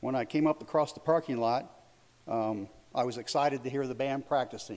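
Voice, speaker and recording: An ordinary speaking voice from a man, medium in pitch, with fairly even intonation and a moderate pace. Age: 60s. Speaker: public commenter. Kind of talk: public comment.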